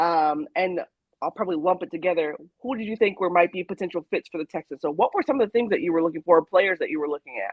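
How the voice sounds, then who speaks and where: A woman speaks at a very fast pace. Her pitch is fairly low, with ordinary variation. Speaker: podcast host. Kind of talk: podcast interview. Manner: soft-spoken.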